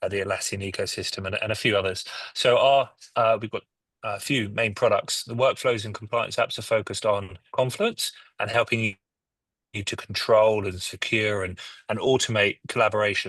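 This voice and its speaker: At a moderate pace against a quiet background, a man talks with a British accent. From UK. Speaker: software company head. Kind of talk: panel discussion.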